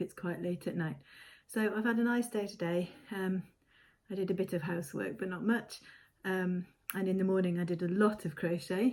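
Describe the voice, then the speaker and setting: A woman speaks quietly in a put-on character voice, raspy and medium in pitch. Her intonation stays fairly even at a moderate pace. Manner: talking quietly.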